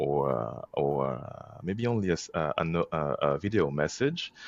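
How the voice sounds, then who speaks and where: With a French accent, a man speaks at a fairly slow pace in a very deep, low voice. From France. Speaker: organization co-founder. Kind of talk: podcast interview. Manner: halting.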